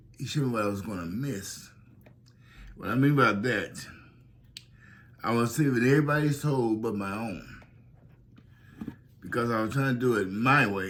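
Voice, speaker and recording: A man talks with ordinary pitch variation, and room echo is audible. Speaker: pastor. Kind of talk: testimony. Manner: slightly unusual, slurred-sounding speech.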